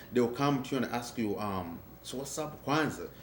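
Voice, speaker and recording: A man with a strong African accent speaks at a medium pitch and a moderate pace. His pitch varies in an ordinary way, and audible room echo surrounds him. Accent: thick African. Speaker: African immigrant interviewee. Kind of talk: documentary interview.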